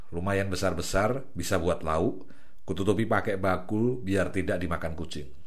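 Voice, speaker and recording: A man's very deep, low, somewhat breathy voice with ordinary pitch variation. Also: moderate pace. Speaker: audiobook narrator. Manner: wistful, softly sad in the closing reflection on the birds.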